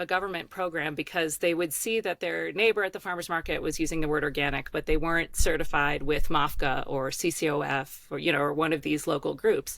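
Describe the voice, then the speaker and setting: A woman talks at a fairly quick pace with hardly any pauses. Her pitch sits fairly low, and vocal fry runs through her voice. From Baltimore, Maryland, US. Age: 40s. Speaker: organic farmer and advocate. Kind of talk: podcast interview.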